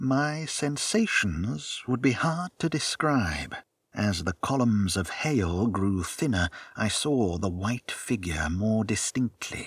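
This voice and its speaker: A man's medium-pitched voice at a very slow pace, with very wide pitch swings and very even loudness, in a very clean recording with a silent background. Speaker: audiobook narrator. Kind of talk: literary audiobook reading, narrating a first-person Victorian sci-fi story. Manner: steady, measured storytelling pace with hushed wonder; formal, clear, and expressive in a scripted way.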